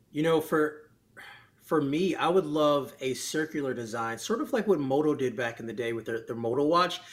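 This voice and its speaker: A man with a plain, everyday voice talks at a moderate pace and a fairly high pitch. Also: lively intonation. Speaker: tech YouTuber. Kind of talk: casual podcast interview.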